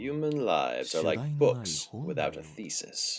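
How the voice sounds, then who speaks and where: A man's put-on character voice, resonant and medium-pitched, with a calm, gentle tone and a fairly slow pace. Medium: game stream. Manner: calm, gentle, chilling.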